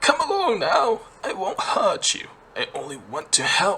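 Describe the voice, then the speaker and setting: Using a put-on character voice, a man speaks. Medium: read story.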